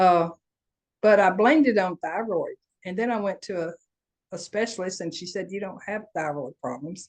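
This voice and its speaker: A woman in a Southern US accent, medium in pitch with ordinary pitch variation, at a moderate pace with long, frequent pauses and big swings in loudness. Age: 70s. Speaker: coaching group participant. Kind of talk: casual chat.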